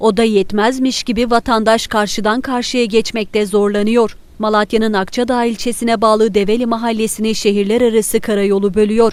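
A woman at a moderate pace, in a normal speaking voice with a fairly high pitch. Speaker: news reporter. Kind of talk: news reading.

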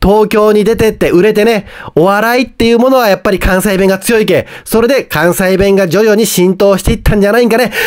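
Speaking at a fairly quick pace with hardly any pauses, a man with a Hiroshima accent holds a high pitch, very even loudness and fairly even intonation. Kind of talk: casual news-recap talk to camera.

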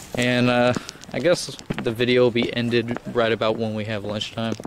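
A man speaks in monotone, flat intonation. The sound is dry with no echo, and background noise is noticeable. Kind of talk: casual vlog commentary. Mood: relaxed, joking. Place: open country. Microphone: phone near.

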